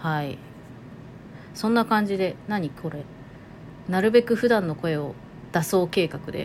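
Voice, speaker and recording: The speaker moves at a fairly slow pace, leaving long, frequent pauses. Loudness swings widely from moment to moment. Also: woman, medium pitch for a woman, ordinary pitch variation. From Toyama, Japan (Nanto). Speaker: podcast host. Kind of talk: casual monologue.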